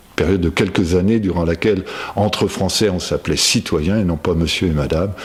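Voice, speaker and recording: Noticeable background noise sits behind a man with a very deep, low pitch. He talks at a moderate pace. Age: 60s. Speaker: local political candidate. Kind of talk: personal testimony. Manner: hesitant, many fillers.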